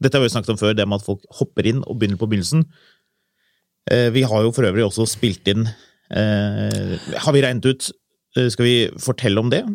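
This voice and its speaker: A man's medium-pitched voice at a fairly quick pace, with fairly even intonation, long, frequent pauses and a dry, close sound with no echo. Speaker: car podcast host. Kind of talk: casual chat.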